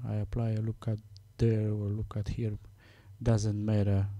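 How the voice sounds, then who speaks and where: In a non-native accent, a man speaks with monotone, flat intonation at a fairly low pitch, his dark, mellow tone somewhat breathy. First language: Romanian. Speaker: software tutorial maker. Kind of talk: tutorial. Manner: halting, many fillers.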